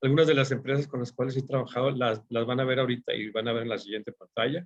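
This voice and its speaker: Delivered at a very fast pace, the speech keeps a fairly even intonation. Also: man, medium pitch for a man. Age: 50s. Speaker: forecasting consultant and instructor. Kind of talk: online workshop lecture. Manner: halting, many fillers.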